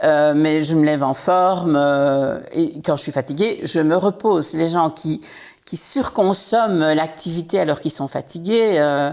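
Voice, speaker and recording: Her pitch sits very deep and low for a woman, with ordinary variation, and this woman talks at a fairly slow pace. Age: 60s. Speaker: entrepreneur. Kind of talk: casual chat.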